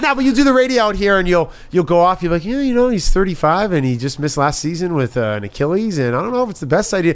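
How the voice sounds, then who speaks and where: Very fast, animated, and high-pitched, a man with an American accent talks with very wide pitch swings and hardly any pauses. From New York. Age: 30s. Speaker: TV and sports host. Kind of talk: casual chat.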